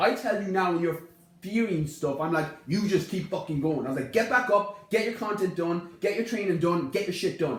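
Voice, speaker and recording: An animated man with a west of Ireland accent, high-pitched, fairly quick, with ordinary pitch variation, audible room echo and noticeable background noise. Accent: west of Ireland Irish. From Ireland, Connemara (west of Ireland). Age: 20s. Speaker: fitness podcast host. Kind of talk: casual podcast conversation. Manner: animated, emphatic.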